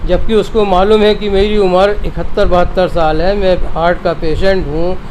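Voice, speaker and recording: A man with a high voice talks in a flat monotone at very even loudness, with audible room echo and noticeable background noise. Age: 70s. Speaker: doctor, complainant. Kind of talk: news interview. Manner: halting, many fillers.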